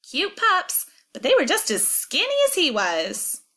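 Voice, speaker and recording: This woman uses a put-on character voice that is squeaky and extremely high in pitch. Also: moderate pace. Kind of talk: rural colloquial speech. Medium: read story. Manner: plain-spoken, chatty.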